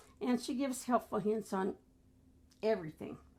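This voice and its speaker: Somewhat breathy, the voice has a dark, mellow tone and its pitch varies in an ordinary way. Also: woman. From US, military family moving around (Memphis, Hawaii, Rhode Island). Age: 70s. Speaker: grandmother sharing life stories. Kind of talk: casual interview chat.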